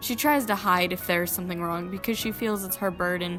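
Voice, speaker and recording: A fairly low-pitched woman's voice at a fairly quick pace, with ordinary pitch variation and music in the background. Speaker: digital artist. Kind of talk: speedpaint commentary voice-over. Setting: home recording, low-quality mic. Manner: casual, slightly hesitant.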